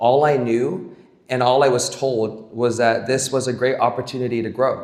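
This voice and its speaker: Medium-pitched male voice at a moderate pace, with audible room echo. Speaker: camp staff member. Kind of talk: speech.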